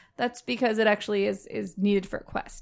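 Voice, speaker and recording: A woman at a fairly quick pace, animated in tone, in a very clean recording with a silent background. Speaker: podcast co-host. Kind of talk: casual chat. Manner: animated, joking.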